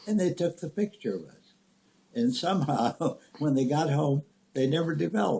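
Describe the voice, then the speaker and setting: This speaker, with a Midwestern American accent, has a dark, mellow tone, vocal fry and lively intonation. Loudness swings widely, and long pauses come often. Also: man, fairly high pitch for a man, moderate pace. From rural Nebraska. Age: 80s+. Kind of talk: family storytelling, reminiscing.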